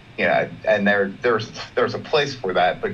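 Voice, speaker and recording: Noticeable background noise accompanies a man with an American accent who speaks at a moderate pace, fairly low in pitch, with ordinary pitch variation. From Maryland, US. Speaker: Buddhist student. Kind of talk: personal sharing. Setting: video call.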